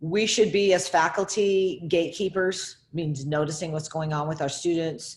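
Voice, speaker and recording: A woman speaks in an ordinary speaking voice, fairly low in pitch. Her pitch variation is ordinary and her pace moderate. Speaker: faculty member. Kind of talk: presentation.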